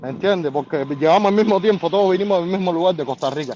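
A man speaks with a high-pitched voice. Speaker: caller. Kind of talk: casual chat.

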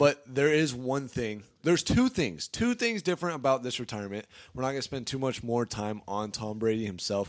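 Using a plain, everyday voice, a man talks at a fairly quick pace with a medium pitch and ordinary pitch variation. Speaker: sports podcast host. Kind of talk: casual sports talk podcast. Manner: joking, playful banter.

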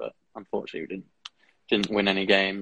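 A man with a southern English accent talks at a fairly quick pace in a fairly low pitch, his intonation monotone and flat. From Kent, England. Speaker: student ice hockey player. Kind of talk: casual interview.

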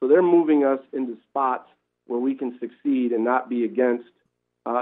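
A man with an American accent, medium pitch and fairly even intonation, in an ordinary speaking voice. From Wisconsin. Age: 40s. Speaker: sports league commissioner. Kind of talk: radio interview.

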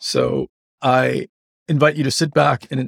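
The speaker uses vocal fry at a moderate pace. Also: man. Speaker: radiologist and guest podcast host. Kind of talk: interview.

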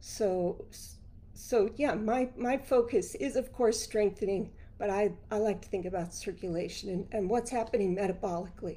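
Her voice is fairly high for a woman, with a dark, mellow tone. She keeps a moderate pace and ordinary pitch variation. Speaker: physical therapist and author. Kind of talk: casual interview.

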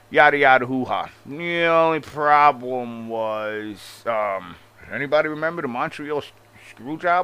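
Fairly high in pitch, a man speaks at a fairly slow pace. His tone is bright, sharp and animated, with ordinary pitch variation. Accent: strong Long Island. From Long Island, New York. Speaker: wrestling commentary YouTuber. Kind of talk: opinionated rant, casual commentary. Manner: animated, profane, sarcastic.

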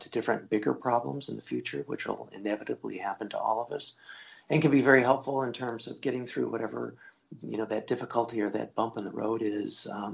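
This put-on character voice is raspy and hoarse and rattles along at a very fast pace. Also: man, medium pitch for a man.

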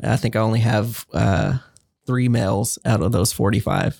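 A man with an American accent has an ordinary speaking voice and ordinary pitch variation. He talks at a moderate pace, and the sound is dry and close with no echo. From Central Texas (Waco area). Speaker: director of imaging at emergency rooms. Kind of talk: interview.

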